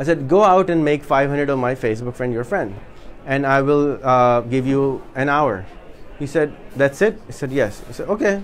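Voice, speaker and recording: Speaking at a moderate pace in a Pakistani accent, a man with a fairly high pitch uses lively intonation. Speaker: social media entrepreneur and workshop speaker. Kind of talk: workshop talk. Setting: in-person meetup with live audience.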